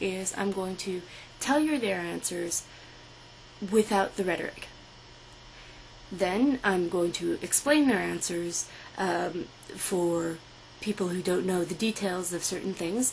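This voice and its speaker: With noticeable background noise behind her, a woman speaks at a fairly slow pace, with ordinary pitch variation and long, frequent pauses. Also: medium pitch for a woman. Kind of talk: political commentary read to camera. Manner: hesitant, stammering.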